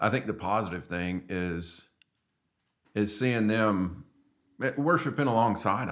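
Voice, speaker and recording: In a Southern US accent, a man speaks at a fairly slow pace with long, frequent pauses, fairly low pitch and ordinary pitch variation, on a very clean recording with a silent background. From Arkansas. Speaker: church member. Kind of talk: testimony; casual chat. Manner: halting.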